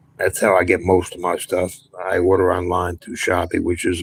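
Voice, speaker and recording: A man with an American accent, very deep and low in pitch, somewhat breathy, at a moderate pace. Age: 60s. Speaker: retiree YouTuber. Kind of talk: live stream chat. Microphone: cheap wireless mic.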